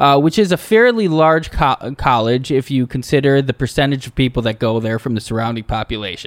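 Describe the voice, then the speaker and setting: With a normal speaking voice at medium pitch, a man talks at a fairly quick pace with lively intonation, in a dry, close sound with no echo. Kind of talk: casual comedic banter.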